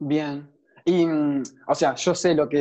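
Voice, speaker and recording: A man's fairly high voice with a dark, mellow tone and fairly even intonation, against a quiet background. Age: young. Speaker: podcast host. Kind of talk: interview conversation.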